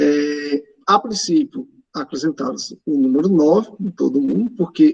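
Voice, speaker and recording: A man with a plain, everyday voice talks at a fairly slow pace with ordinary pitch variation, in a dry, close recording with no echo. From Pernambuco, Brazil. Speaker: math teacher. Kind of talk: online lecture. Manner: casual, filler-heavy.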